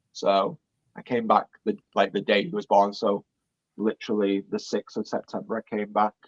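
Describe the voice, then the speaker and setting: In a dry, close sound with no echo, a man talks at a moderate pace in a fairly low voice with fairly even intonation. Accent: British. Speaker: Disney vlogger. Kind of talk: interview answer.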